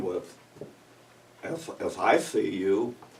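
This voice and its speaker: A man at a very slow pace, with audible room echo and noticeable background noise. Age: 60s. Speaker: pastor. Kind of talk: sermon.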